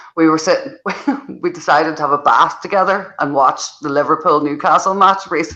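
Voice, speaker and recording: The speaker talks at a fairly quick pace in a Northern Irish accent, with ordinary pitch variation. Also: woman, very deep, low pitch for a woman. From Northern Ireland. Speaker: football podcast panelist. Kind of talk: casual chat.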